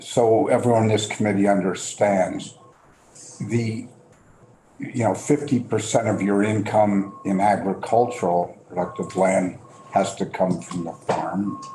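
A man talks at a very slow pace with ordinary pitch variation. There is light background noise. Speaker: state legislator. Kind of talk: committee questioning. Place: meeting room. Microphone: camera far.

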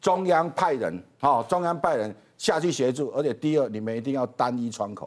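A man's lively intonation at a moderate pace. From Taiwan. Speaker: talk show guest. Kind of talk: political talk show commentary. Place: studio.

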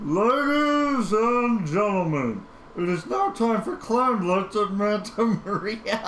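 A man speaks in a put-on character voice at a high pitch with lively intonation and a fairly slow pace. Clear background noise is present. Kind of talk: theatrical. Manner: booming showman announcing.

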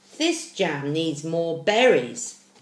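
A woman's voice carries audible room echo, with light background noise behind it. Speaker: storyteller reading to children. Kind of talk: read-aloud storytelling with asides. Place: home room. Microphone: webcam.

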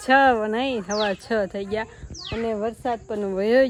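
The voice belongs to a woman. Her pitch shows ordinary variation. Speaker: vlogger. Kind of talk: casual vlog narration.

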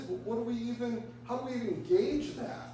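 A man's moderately paced speech amid audible room echo and light background noise. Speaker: pastor. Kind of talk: sermon. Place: church. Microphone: camera far.

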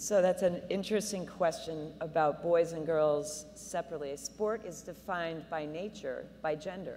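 A woman with a normal speaking voice speaks at a moderate pace and fairly low pitch, her intonation fairly even and her pauses few, over light background noise. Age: 50s. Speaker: high school sports official. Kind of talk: panel discussion. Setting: stage with audience. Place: hall. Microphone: handheld.

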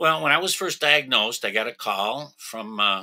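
Over a quiet background, a bright, sharp tone comes through with an American accent, ordinary pitch variation and a moderate pace. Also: man. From New York. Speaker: retired truck driver with a lung condition. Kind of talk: testimony. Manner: halting. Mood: calm, earnest. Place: home room. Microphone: webcam.

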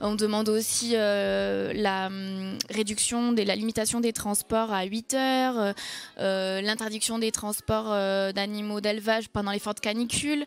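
Keeping her intonation fairly even, a woman talks at a moderate speed. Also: medium pitch for a woman.

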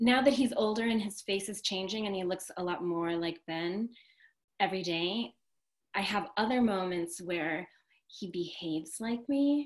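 Over a quiet background, a woman talks at a moderate pace. Her pitch is medium with ordinary variation. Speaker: restaurant owner and interviewer; interviewer. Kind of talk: casual interview conversation. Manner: enthusiastic. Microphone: video call.

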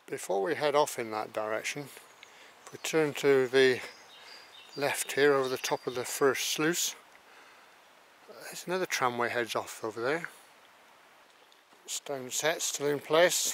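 The man talks at a fairly slow pace with ordinary pitch variation and long, frequent pauses, in a dry sound with no echo. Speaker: walking guide. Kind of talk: commentary. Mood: calm, curious. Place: forest.

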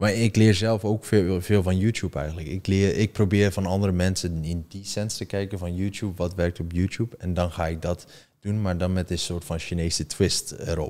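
A man talks in a very deep, low pitch with a dark, mellow tone. His intonation is fairly even, and he keeps a moderate pace with hardly any pauses. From China (Dutch parents, from Zeeland); China. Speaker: content creator; podcast guest, content creator. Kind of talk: interview. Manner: halting, many repetitions and fillers. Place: studio. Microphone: studio mic.

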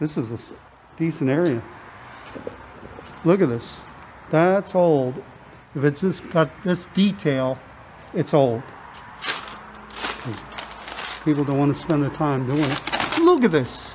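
With light background noise, the speech goes at a fairly slow pace, shows ordinary pitch variation and has long, frequent pauses. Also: man. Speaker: explorer vlogger. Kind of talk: casual vlog chat. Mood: amazed, excited. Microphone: phone near.

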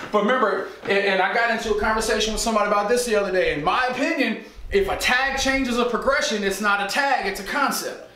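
A raised, projected voice rushes at a very fast pace with hardly any pauses, set in audible room echo. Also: man. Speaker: football coach. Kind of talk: tutorial. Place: home room.

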